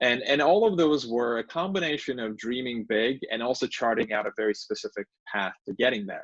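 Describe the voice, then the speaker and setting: A man with a Turkish accent talks at a fairly quick pace, the sound dry and close with no echo. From Turkey (Istanbul). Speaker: law professor and author. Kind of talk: book talk presentation.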